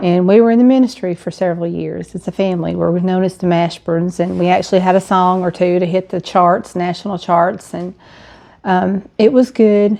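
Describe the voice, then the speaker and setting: A woman speaks in an Alabama accent at medium pitch and a fairly quick pace. Her tone is dark and mellow, her intonation fairly even. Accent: Southern US (Alabama). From US South, Alabama (St. Clair County). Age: 60s. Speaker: widow sharing her story. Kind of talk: personal testimony vlog. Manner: conversational with frequent fillers.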